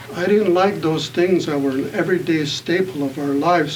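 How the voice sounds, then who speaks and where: A man with an American accent speaks with ordinary pitch variation, with noticeable background noise and audible room echo around him. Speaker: author and activist. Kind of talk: panel talk. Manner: halting.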